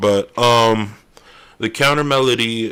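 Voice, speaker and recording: The recording is very clean with a silent background as a man speaks at medium pitch with ordinary pitch variation. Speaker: music producer streamer. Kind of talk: tutorial. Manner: casual, loose; loud. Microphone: very close to the microphone.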